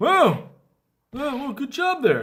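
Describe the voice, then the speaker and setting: A put-on character voice at a fairly slow pace, with music in the background. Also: man. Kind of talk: comic overacting. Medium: fan dub.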